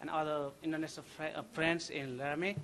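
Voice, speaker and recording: With a Nepali accent, a man talks at a very fast pace. His pitch is fairly high and his intonation monotone and flat. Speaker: graduating chemistry student. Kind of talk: graduation thank-you speech. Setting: ceremony with audience. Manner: halting.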